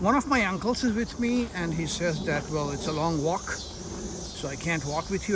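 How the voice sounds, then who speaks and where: Noticeable background noise sits behind a man with a high voice. He talks at a moderate pace with ordinary pitch variation. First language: Hindi/Urdu. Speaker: travel vlogger. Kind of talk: vlog narration. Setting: outdoors. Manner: halting, many fillers.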